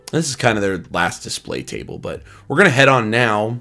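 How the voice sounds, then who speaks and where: A man delivers his words fairly quickly as music plays behind him. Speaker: YouTuber, manga collector. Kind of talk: casual vlog narration. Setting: convention vendor hall. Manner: fast.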